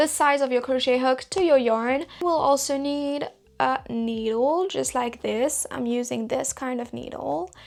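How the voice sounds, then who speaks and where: A woman with a slight French accent speaks at a high pitch and a fairly slow pace. Her pitch variation is ordinary. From Belgium. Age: 20s. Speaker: crochet content creator. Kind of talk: tutorial.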